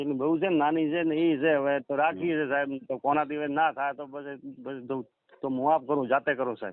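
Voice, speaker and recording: This man has a plain, everyday voice, fairly high in pitch, delivered with fairly even intonation. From Rajasthan, Sanchore area (Jalore district). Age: 40s. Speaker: farmer and dairy keeper seeking a marriage match. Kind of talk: phone call interview.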